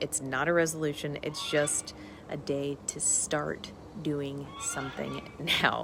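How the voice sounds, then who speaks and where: A woman's voice over noticeable background noise. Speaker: nutrition coach. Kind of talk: live stream talk. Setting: outdoors in parents' backyard. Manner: fast; animated.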